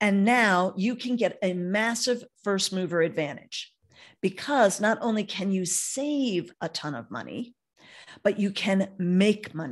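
Here a woman with a normal speaking voice talks at a fairly slow pace and medium pitch. Her intonation is lively, and the background is quiet. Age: 60s. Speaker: network marketer hosting a webinar. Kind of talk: sales pitch. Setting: video call.

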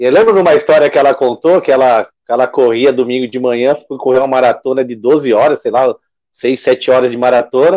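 Against a quiet background, a man speaks at a medium pitch and a fairly quick pace, his tone dark and mellow and his pitch variation ordinary. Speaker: sports web show host; show host. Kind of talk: casual interview. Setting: live stream. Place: home room. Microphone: video call.

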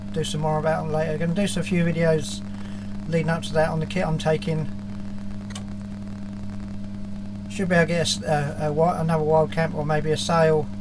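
A man talks at a fairly quick pace with ordinary pitch variation over noticeable background noise. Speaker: hobby sailor vlogger. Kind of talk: casual vlog chat. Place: workshop. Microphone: phone near.

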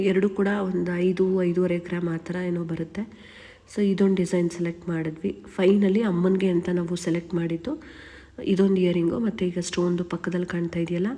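A woman with a fairly low pitch speaks in a monotone, flat intonation. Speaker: vlogger. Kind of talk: casual vlog narration.

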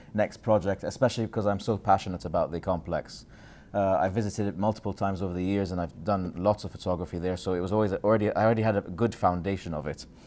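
The delivery is very fast, with fairly even intonation. The tone is dark and mellow. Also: man. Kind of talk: lecture. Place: hall.

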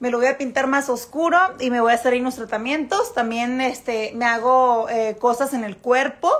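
The woman talks fairly slowly in a high pitch. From Mexico. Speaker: model and influencer. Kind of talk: casual livestream chat with viewers. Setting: Instagram live stream. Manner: animated, lots of fillers and repetitions.

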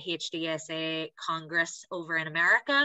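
This woman's voice sits fairly low in pitch, with monotone, flat intonation. The background is quiet. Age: 20s. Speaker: patient advocate and blogger. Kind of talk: personal testimony on a panel. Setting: video call. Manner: prepared reading. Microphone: video call.

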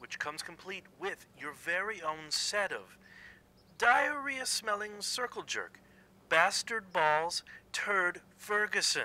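The speech moves at a very slow pace, and the sound is dry with no echo. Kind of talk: scripted drama dialogue, insult. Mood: mocking, hostile. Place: home room.

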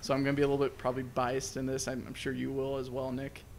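A man with a fairly high pitch speaks over light background noise. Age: 20s. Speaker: movie review podcast co-host; movie review podcast host. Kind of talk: casual chat. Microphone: studio mic.

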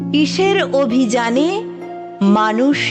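A woman's high voice with lively intonation over background music. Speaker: poetry reciter. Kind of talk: poetry reading.

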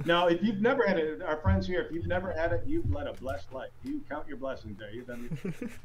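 A man with an American accent, fairly quick, with hardly any pauses and noticeable background noise. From US Northeast (Syracuse, upstate New York). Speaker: stand-up comedian. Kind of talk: stand-up comedy set performed to a virtual audience. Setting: video call from his home basement. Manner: conversational, self-deprecating storyteller with crowd-work asides; halting with frequent repeats and ums, laughing at own jokes. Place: home room. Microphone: handheld.

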